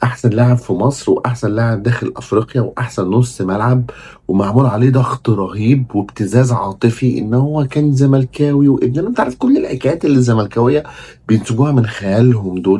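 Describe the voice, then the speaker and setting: This man has a Cairo accent, a medium pitch and a somewhat breathy, animated tone. He talks at a moderate pace with hardly any pauses and very even loudness. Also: ordinary pitch variation. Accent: Egyptian Arabic (Cairene). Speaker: football commentator, YouTuber. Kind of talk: casual monologue, fan commentary. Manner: kept down, not raising voice at night.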